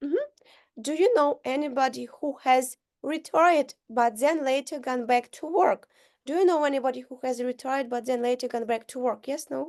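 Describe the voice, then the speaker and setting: Her high-pitched voice moves at a moderate pace with ordinary pitch variation. The woman's recording has a dry, close sound with no echo and a quiet background. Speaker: English teacher. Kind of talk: online English lesson drilling questions; dictation.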